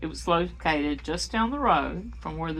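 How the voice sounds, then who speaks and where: A woman speaks over music in the background. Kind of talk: personal memoir reading.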